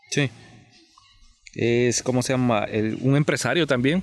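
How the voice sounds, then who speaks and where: Ordinary pitch variation marks a man's speech at a fairly slow pace. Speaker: podcast host. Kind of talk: casual history discussion.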